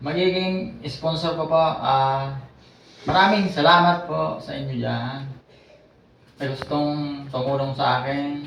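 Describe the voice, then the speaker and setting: A man's fairly high-pitched voice at a very slow pace, with audible room echo and light background noise. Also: ordinary pitch variation. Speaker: stroke survivor and barber. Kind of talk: testimony. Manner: halting. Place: home room. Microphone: camera far.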